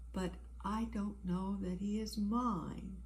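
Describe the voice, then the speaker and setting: A woman puts on a character voice and speaks at a fairly slow pace. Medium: read story. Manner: soft, worried.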